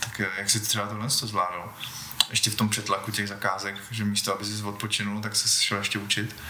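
A man with a fairly low pitch talks at a fairly quick pace in a monotone, flat manner. Both noticeable background noise and audible room echo come through. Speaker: podcast host. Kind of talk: interview. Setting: guest's home studio. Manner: halting.

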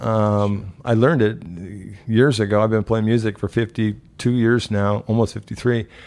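On a very clean recording with a silent background, a man with an American accent uses an unremarkable speaking voice, fairly low in pitch, with fairly even intonation, very even loudness, hardly any pauses and a fairly slow pace. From Nebraska, US Midwest (Omaha). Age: 50s. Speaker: former martial arts instructor, real estate agent, heart attack survivor. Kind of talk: casual interview conversation.

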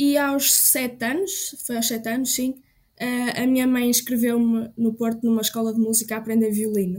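A woman speaks at a moderate pace in a normal speaking voice, her fairly high pitch held to fairly even intonation. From Portugal, Trás-os-Montes. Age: 20s. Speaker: music student and composer. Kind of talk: testimony.

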